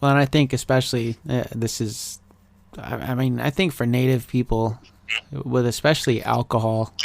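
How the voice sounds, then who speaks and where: With an American accent and an unremarkable speaking voice, a man talks at a medium pitch and a moderate pace, keeping his intonation fairly even. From Klamath Falls, Oregon, US. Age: 30s. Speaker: podcast host. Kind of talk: casual chat.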